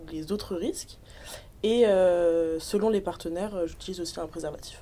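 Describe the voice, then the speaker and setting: This woman's dark, mellow tone moves with fairly even intonation. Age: 20s. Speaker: sex education project member. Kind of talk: casual discussion.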